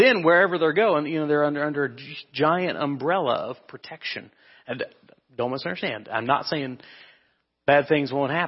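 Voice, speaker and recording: An American-accented man, fairly high in pitch, at a moderate pace with ordinary pitch variation and long, frequent pauses. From Kansas. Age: 30s. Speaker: preacher. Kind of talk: sermon.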